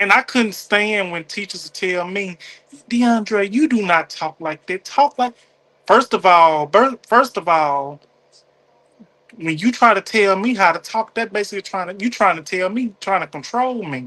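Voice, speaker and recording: Speaking with a Southern accent, a man with a high voice projects loudly in a bright, sharp tone, animated and with lively intonation, at a moderate pace. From US South, Mississippi. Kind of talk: casual chat.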